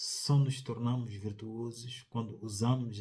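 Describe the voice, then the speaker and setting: A man with a dark, mellow, somewhat breathy tone speaks at a fairly slow pace in a monotone, flat intonation. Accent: Mozambican. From Mozambique. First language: Tsonga (speaking Portuguese). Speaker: sociologist, commentator. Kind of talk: opinion commentary. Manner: formal.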